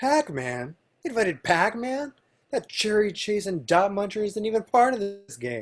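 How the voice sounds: Putting on a character voice, a man speaks high for his range with big pitch swings at a fairly slow pace.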